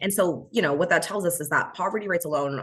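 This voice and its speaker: Over noticeable background noise, a woman with a fairly low pitch talks at a very fast pace with lively intonation. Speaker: fair housing trainer. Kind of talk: training presentation.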